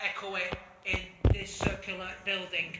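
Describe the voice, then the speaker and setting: A man talks over noticeable background noise. Room echo is audible. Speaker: amateur video host. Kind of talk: casual vlog presenting. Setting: outdoors at castle ruins. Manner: halting, stammering.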